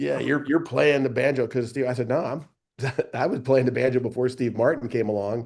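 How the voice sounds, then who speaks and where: The speaker moves at a fairly quick pace with fairly even intonation and vocal fry. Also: man, medium pitch for a man. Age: 60s. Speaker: comedian and retired basketball coach. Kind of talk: casual chat.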